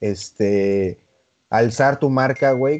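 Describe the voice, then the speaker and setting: A man's dark, mellow tone with ordinary pitch variation, over a quiet background. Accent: Mexican. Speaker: podcast co-host. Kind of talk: casual chat.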